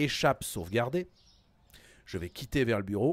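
An animated man at a medium pitch, with lively intonation and a dry sound with no echo. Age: 40s. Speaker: gaming streamer. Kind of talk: live gaming stream. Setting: home studio. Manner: casual, animated. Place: home room.

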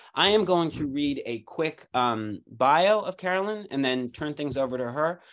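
A man with an American accent and a plain, everyday voice talks at a moderate pace with hardly any pauses. His fairly high pitch has lively intonation, and the background is quiet. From United States. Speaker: symposium host. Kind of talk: introducing a guest, casual moderating. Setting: video call. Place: home room. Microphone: video call.

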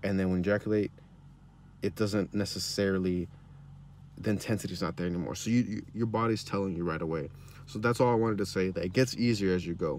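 Over light background noise, a man talks at a very fast pace in a fairly low pitch with ordinary pitch variation, the sound dry with no echo. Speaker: self-help YouTuber. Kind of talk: motivational vlog monologue. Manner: halting, many fillers and repeats. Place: car. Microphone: phone near.

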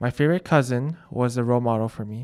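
A man with an American accent speaks in an ordinary speaking voice at a medium pitch, fairly quick pace and ordinary pitch variation. The recording is very clean with a silent background, and the sound is dry and close with no echo. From Colorado. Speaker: student. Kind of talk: scripted narration.

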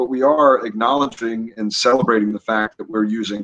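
A man with an American accent at a fairly quick pace. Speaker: whiskey brand representative; guest. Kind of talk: casual interview chat. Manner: hesitant, many fillers. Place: home room. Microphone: video call.

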